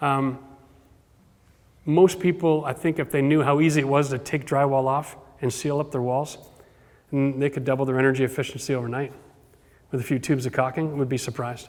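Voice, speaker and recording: Though his pace is fairly quick, this man leaves long, frequent pauses and keeps his intonation fairly even. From Ontario, Canada (Cambridge). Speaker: home renovation expert. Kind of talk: Q&A talk with audience.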